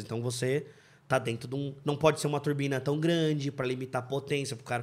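An ordinary speaking voice moves at a moderate pace in a very clean recording with a silent background. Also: man. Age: 30s. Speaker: car mechanic and engine tuner. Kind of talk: casual chat.

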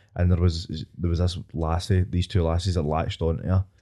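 In a Scottish accent, a man speaks at a fairly quick pace, his voice very deep and low with a dark, mellow tone, on a very clean recording with a silent background. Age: 20s. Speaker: podcast host. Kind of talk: casual chat.

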